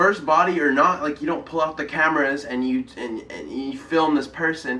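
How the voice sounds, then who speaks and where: A man speaks at a moderate pace in a fairly high pitch, with ordinary pitch variation. Noticeable background noise runs underneath. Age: young. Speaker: YouTuber. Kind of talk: casual talk to camera. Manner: hesitant, filler-heavy.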